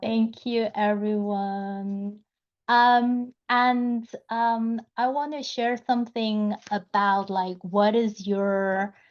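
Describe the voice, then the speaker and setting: A woman with a non-native accent speaks at a very slow pace and a fairly high pitch. Her loudness stays very even. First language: not English. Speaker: community member. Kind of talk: online community gathering.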